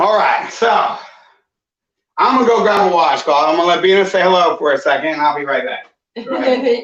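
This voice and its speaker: A man speaks in a high voice at a fairly quick clip, his animated tone and lively intonation broken by long, frequent pauses. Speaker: vlogger. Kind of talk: casual chat.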